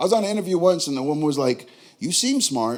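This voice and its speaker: A man with a strong New York accent sounds animated, his pitch swinging very widely. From New York, Queens. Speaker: stand-up comedian. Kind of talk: stand-up. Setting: stage with audience.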